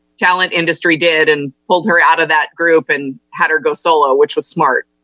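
A woman with an American accent, fairly low in pitch with a bright, sharp tone, at a moderate pace in a dry, close recording with no echo. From California, Monterey County. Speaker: business council executive and former city councilwoman. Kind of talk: radio interview.

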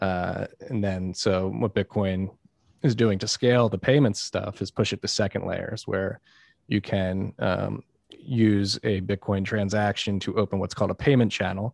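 A man speaks in an ordinary speaking voice, fairly low in pitch, at a moderate pace with fairly even intonation. The sound is dry and close with no echo, a very clean recording over a silent background. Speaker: podcast host. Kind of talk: casual interview chat.

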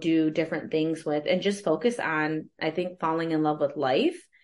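Speaking fairly slowly over a quiet background, a woman with an American accent has a very deep, low pitch. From US Midwest, West Michigan. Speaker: coach and HR consultant, podcast host. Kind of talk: casual interview chat.

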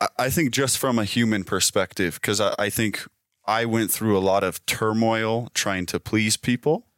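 In a very clean recording with a silent background and a dry, close sound with no echo, a man with an unremarkable speaking voice talks at a moderate pace and medium pitch, his pitch varying in an ordinary way. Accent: American. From Utah, Sugar House, Salt Lake City. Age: 20s. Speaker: real estate team leader and house flipper. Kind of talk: interview. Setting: in person, on-location studio.

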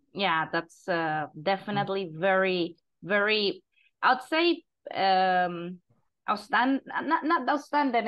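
A woman speaks at a medium pitch with lively intonation. Her pace is very slow. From Costa Rica. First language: Spanish. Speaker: podcast host and English teacher. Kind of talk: casual interview.

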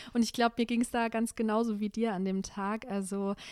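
A woman at a medium pitch and moderate pace, fairly even in intonation, on a very clean recording with a silent background. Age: 20s. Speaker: local councillor. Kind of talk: casual chat.

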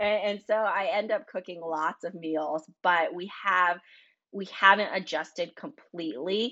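A plain, everyday voice speaks at a fairly slow pace in an American accent. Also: woman, medium pitch for a woman, ordinary pitch variation. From North Carolina. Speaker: food business founder and allergy parent. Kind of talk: podcast interview.

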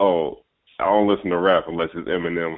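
The voice belongs to a man with a very deep, low pitch. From Ohio, Cincinnati. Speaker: podcast host. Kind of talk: casual chat.

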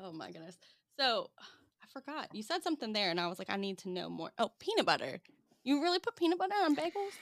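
A woman talks very fast in a high voice, her pitch swinging very widely and her loudness rising and falling a lot. The tone is playful, the sound dry and close with no echo, and the recording very clean over a silent background. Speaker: podcast host. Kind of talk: casual chat interview. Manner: laughs often, playful.

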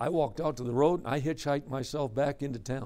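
A man talks at a very fast pace in a fairly high pitch with ordinary pitch variation. The recording is very clean, with a silent background. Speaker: preacher. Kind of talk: sermon, conference preaching workshop. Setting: conference session with live audience of men. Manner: earnest, conversational, exhorting; storytelling, dramatic delivery with quoted dialogue.

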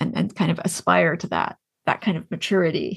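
With a Canadian accent, a woman talks at a fairly quick pace with vocal fry. The background is quiet. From Canada, Ontario (near Kingston). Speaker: fantasy author. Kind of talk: interview conversation. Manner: halting, many fillers and repetitions.

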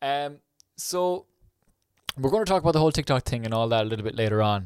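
The recording is very clean, with a silent background. A man with a medium-pitched voice talks in an Irish accent. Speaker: podcast host. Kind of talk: podcast intro narration; casual interview chat.

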